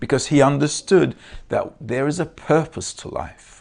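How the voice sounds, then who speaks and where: A man talks at a moderate pace. His voice has vocal fry. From Turkey. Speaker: Kabbalah lecturer. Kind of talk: lecture. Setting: video call. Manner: halting, many filler sounds.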